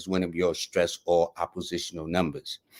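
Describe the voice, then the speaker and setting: A man with a New York accent, on a very clean recording with a silent background and a dry, close sound free of echo. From New York City. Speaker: numerologist, live show host. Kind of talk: live reading for viewers. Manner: fast; casual, conversational.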